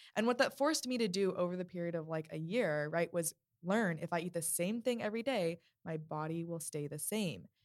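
In an ordinary speaking voice, a woman with a fairly low pitch talks at a fairly quick pace with lively intonation. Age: 20s. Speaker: guest, host's younger sister. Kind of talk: casual chat. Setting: studio.

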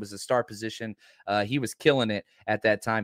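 Over a very clean recording with a silent background and a dry, close sound with no echo, a man with an American accent speaks at a moderate pace with ordinary pitch variation. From Texas, Dallas. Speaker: football podcaster and former high school coach. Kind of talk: casual chat.

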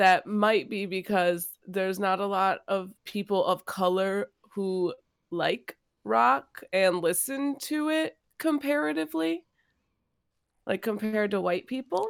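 A woman speaks fairly slowly with lively intonation in an ordinary speaking voice. The recording is very clean, with a silent background. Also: medium pitch for a woman. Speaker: podcast co-host. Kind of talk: casual chat.

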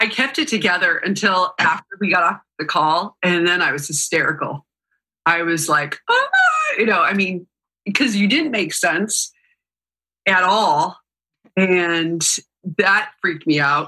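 A woman speaks at a fairly slow pace and a medium pitch with ordinary pitch variation and very even loudness. Her tone is bright and sharp, and she leaves long, frequent pauses. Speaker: interviewer, show host. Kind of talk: casual interview.

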